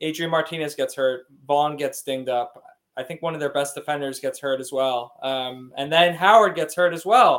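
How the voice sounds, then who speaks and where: A man's fairly high-pitched, normal speaking voice moves along at a moderate pace. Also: ordinary pitch variation. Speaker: podcast co-host. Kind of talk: casual chat.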